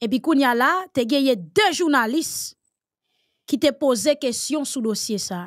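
A woman's high-pitched voice carries lively intonation as she talks at a very slow pace. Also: quiet background. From Haiti. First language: Haitian Creole (speaking French). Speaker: political commentator. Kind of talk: panel discussion. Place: studio.

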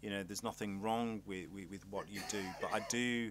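A man speaks at a moderate pace with fairly even intonation. His voice sits fairly low, with a fairly bright tone.

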